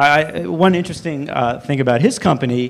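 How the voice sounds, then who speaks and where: The pace is moderate. The speaker is a man. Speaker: panel moderator. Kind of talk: panel introduction. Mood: light, joking. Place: hall. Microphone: handheld.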